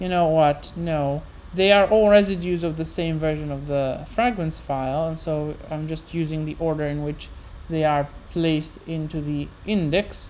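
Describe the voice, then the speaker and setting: Audible room echo surrounds a woman who speaks at a moderate pace with a very deep, low pitch. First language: Italian. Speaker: livestreamer working on translations of ancient poetry. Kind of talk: long unscripted solo livestream, thinking aloud. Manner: halting, frequent self-corrections; switches between English and Italian.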